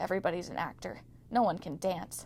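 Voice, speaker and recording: Over clear background noise, a woman does a put-on character voice at a fairly low pitch and a fairly quick pace. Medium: read story. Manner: murmuring, mopey.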